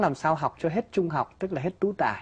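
A man with a high pitch against a quiet background. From northern Vietnam. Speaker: priest guest on talk show. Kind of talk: interview, personal testimony. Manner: forceful. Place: studio. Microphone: lapel.

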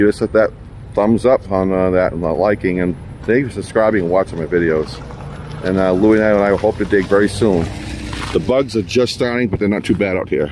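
A man with a fairly low voice speaks fairly quickly, his pitch moving in an ordinary way. The sound is dry with no echo, though background noise is noticeable. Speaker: train enthusiast vlogger. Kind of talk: casual vlog chat. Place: street. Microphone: phone near.

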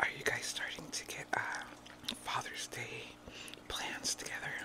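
A woman whispers at a moderate pace. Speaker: ASMR mukbang creator. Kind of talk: ASMR mukbang whispered talk. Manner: whispered. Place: home room. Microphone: studio mic.

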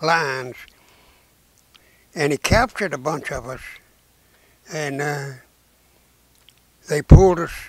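In a quiet background, a man with a Southern US accent talks at a fairly high pitch with ordinary pitch variation, the sound dry with no echo. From Arkansas. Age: 80s+. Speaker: WWII veteran. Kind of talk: interview answer. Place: home room. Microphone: lapel.

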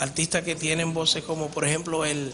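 A man talks at a moderate pace with a fairly high pitch and little pitch movement. Background noise is clearly audible.

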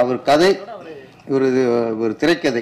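Against light background noise, a man with an ordinary speaking voice talks at a fairly high pitch with ordinary variation. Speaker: film director. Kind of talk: speech at a movie audio launch event. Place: stage. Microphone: podium.

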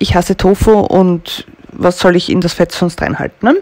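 A woman talks at a moderate pace in a fairly low voice. Her tone is slightly mellow.

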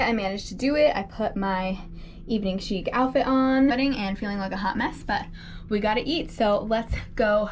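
Music plays behind a woman who speaks at a moderate pace with ordinary pitch variation. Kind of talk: casual vlog chat. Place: home room. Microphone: phone near.

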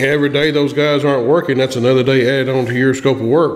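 Amid audible room echo, a man speaks fast at a medium pitch with little pitch movement.

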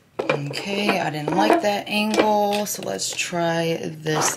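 A woman with an American accent, fairly low-pitched, with lively intonation and a very slow pace, over loud background noise. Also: hardly any pauses. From US Midwest. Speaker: YouTube vlogger. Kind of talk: casual vlog talk to camera. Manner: animated.

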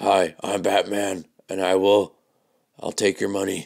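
A man's put-on character voice, raspy and fairly low in pitch, at a very slow pace. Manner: bad impression.

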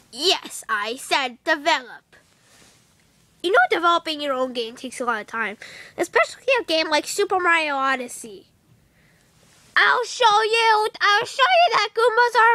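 Using a cartoonish character voice, a woman talks at an extremely high pitch with very wide pitch swings and long, frequent pauses. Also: moderate pace. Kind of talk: comic overacting. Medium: puppet show. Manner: brash, excitable, determined.

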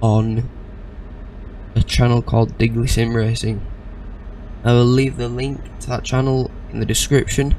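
Over light background noise, a man speaks in a flat monotone with long, frequent pauses. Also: moderate pace, dry sound with no echo. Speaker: gaming streamer. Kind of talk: casual gameplay commentary. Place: home room.

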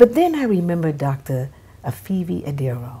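A woman's pitch rises and falls across a very wide range as she talks fairly slowly, with music playing behind her. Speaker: TV show host. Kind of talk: interview host intro and chat. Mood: warm, cheerful. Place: home room.

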